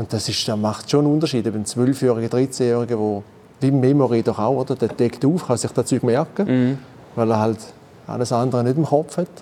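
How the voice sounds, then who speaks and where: In an unremarkable speaking voice, the talk moves at a fairly quick pace with ordinary pitch variation. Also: man, medium pitch for a man. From Eastern Switzerland, St. Gallen (Rorschach). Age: 50s. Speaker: former gaming champion, heating installation manager. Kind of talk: casual chat. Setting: studio.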